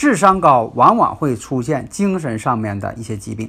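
A man speaks at a moderate pace in a bright, sharp tone, with very wide pitch swings. The recording is very clean, with a silent background. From Northeast China. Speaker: fortune-telling and feng shui teacher. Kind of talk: lecture. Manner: filler-heavy, with frequent 啊 and 呢.

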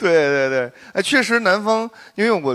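A man's plain, everyday voice with lively intonation at a moderate pace. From southern Shanxi (Jinnan), China. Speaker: podcast guest, performer. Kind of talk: casual group chat before live audience.

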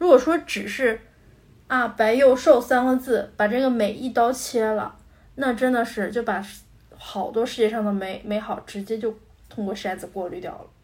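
This is a woman with a plain, everyday voice, pitched fairly high. Her pace is moderate. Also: ordinary pitch variation. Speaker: podcast co-host. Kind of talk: casual chat.

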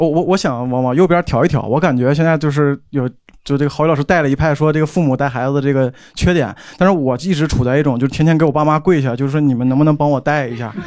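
This man talks at a very fast pace, his fairly high pitch held in a fairly even intonation. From Northeast China. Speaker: audience member, education researcher. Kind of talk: audience contribution. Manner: stammering.

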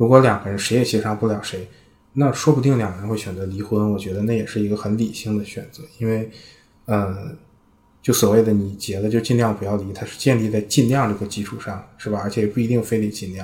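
A somewhat breathy man's voice at a fairly low pitch, very fast pace and fairly even intonation. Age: 20s. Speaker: product manager, podcast editor. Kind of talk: casual discussion.

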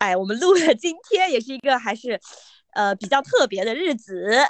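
The voice is loud, with very wide pitch swings, at a moderate pace. The sound is dry and close with no echo. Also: woman. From Yunnan, Mangshi. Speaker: podcast co-host and editor. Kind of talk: casual chat. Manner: loud laughter.

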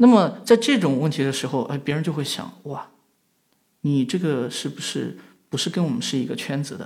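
At a moderate pace, a man talks in a fairly high pitch, somewhat breathy, with lively intonation. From western China. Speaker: media founder, entrepreneur. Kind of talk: reflective interview talk. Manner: frequent fillers, hesitant.

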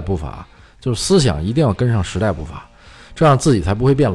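A man's medium-pitched voice with very wide pitch swings, at a fairly quick pace. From China. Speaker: motor racing enthusiast. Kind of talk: casual chat. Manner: halting, many filler sounds.

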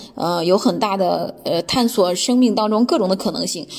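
Noticeable background noise sits behind a woman with a medium pitch. She speaks at a moderate pace with ordinary pitch variation. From mainland China. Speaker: guest sharing personal experience. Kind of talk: personal talk, self-recorded monologue. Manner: hesitant, many filler sounds.

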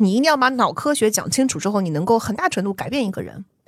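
The recording is very clean, with a silent background. A woman speaks at a fairly quick pace with lively intonation. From southern China. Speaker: podcast host. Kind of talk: interview conversation.

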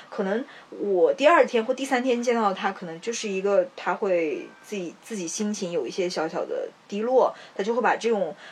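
With noticeable background noise behind her, a woman speaks at a moderate pace, her fairly high pitch rising and falling in lively intonation. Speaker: podcast co-host. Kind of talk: casual chat.

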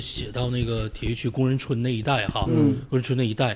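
A man with a medium-pitched voice speaks at a fairly quick pace over noticeable background noise. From Northeast China, Shenyang (Tiexi district). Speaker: university lecturer and poet. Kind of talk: casual conversation.

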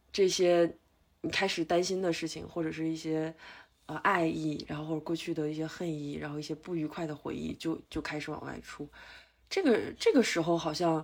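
A woman talks at a moderate pace with a fairly low pitch. She has an ordinary speaking voice. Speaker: meditation retreat participant. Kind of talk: casual chat.

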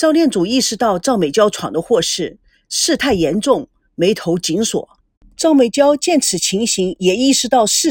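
Over a quiet background, someone reads aloud in a natural voice with lively intonation.

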